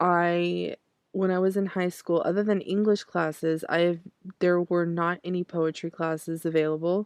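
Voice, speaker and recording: In an American accent, a woman speaks fairly slowly with monotone, flat intonation, the sound dry and close with no echo. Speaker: poetry podcast host. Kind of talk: poetry reading; casual talk between poem readings. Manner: hesitant, filler-heavy.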